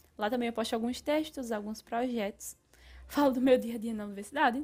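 A woman's high voice at a very fast pace with fairly even intonation. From Brazilian Northeast. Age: 20s. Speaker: podcast host and philosophy student.

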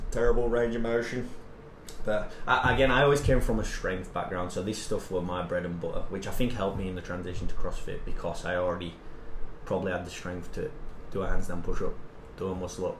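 A man rattles along at a very fast pace, with audible room echo and noticeable background noise in the recording. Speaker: strength and conditioning coach. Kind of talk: casual chat.

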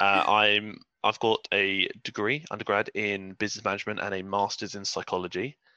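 With an English accent, a man speaks at a moderate pace in a bright, sharp tone and fairly low pitch, his intonation monotone and flat, in a dry, close sound with no echo and a quiet background. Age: 20s. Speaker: fitness professional. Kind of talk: casual chat.

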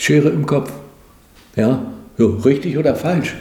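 With very wide pitch swings, a man talks at a fairly slow pace amid noticeable background noise and audible room echo. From East Germany. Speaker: former TV commentator and satirist. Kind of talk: interview. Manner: hesitant with fillers.

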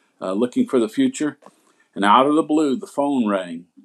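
With a Southern US accent, a man speaks at medium pitch. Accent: Southern American. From US South, Asheville, North Carolina. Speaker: pastor. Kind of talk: testimony.

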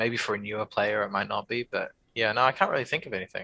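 Against a quiet background, a man of medium pitch with a New Zealand accent has a bright, sharp tone in a dry, close sound with no echo. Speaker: tabletop gamer. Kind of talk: casual chat.

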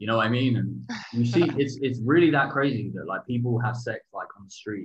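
A man talks with an English accent. His pace is fairly quick. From England. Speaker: podcast co-host. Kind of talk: casual chat. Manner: halting.

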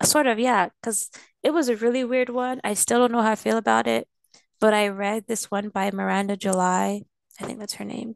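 A woman with an unremarkable speaking voice talks at a moderate pace and a fairly high pitch, with fairly even intonation. The sound is dry and close, with no echo. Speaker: photographer. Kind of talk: casual chat.

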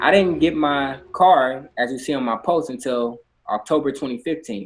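This man's voice is fairly high in pitch, with ordinary pitch variation. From Inglewood, Los Angeles. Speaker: financial advisor. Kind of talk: podcast interview.

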